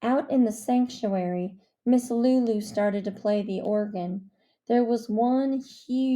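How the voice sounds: A natural reading voice with ordinary pitch variation plays over a quiet background.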